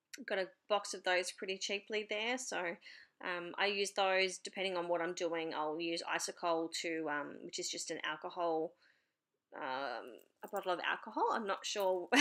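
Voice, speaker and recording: Heard on a very clean recording with a silent background, a woman speaks with an Australian accent. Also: medium pitch for a woman, ordinary pitch variation, moderate pace. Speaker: papercraft YouTuber. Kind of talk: tutorial voiceover. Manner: hesitant, many fillers.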